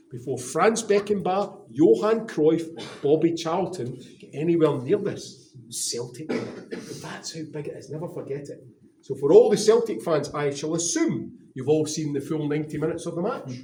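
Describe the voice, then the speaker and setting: With audible room echo around him, a man talks at a moderate pace in a fairly high pitch with lively intonation. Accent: Glaswegian. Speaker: stadium tour guide. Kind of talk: guided tour talk to visitors. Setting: museum with tour group. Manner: animated, enthusiastic; briefly whispering.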